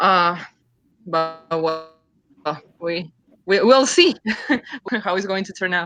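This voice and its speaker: A woman's fairly low voice at a very slow pace, with ordinary pitch variation, big swings in loudness, long, frequent pauses and music in the background. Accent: Uruguayan. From Uruguay. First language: Spanish. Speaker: comic book creator. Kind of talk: interview on live stream. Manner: halting.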